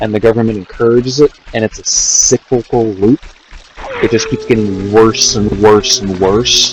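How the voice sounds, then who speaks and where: Soft-spoken at a moderate pace, the voice keeps a fairly even intonation while music plays in the background. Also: man, medium pitch for a man. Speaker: gaming streamer. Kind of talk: casual livestream chat.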